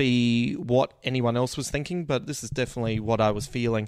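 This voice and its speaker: A man with an Australian accent at medium pitch and a fairly quick pace, on a very clean recording with a silent background. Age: 40s. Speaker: comedian. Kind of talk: casual chat.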